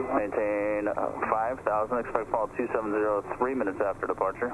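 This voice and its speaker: This man speaks at a moderate pace against noticeable background noise. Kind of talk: radio clearance phraseology. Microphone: two way radio.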